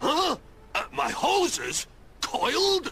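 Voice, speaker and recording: A cartoonish character voice from a man, pitched extremely high, over light background noise. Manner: blustery.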